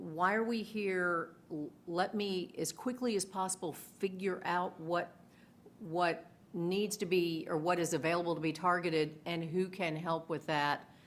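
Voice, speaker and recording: A woman speaks fairly slowly in a fairly low voice, her intonation fairly even. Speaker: e-discovery lawyer. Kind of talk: panel discussion. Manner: loud.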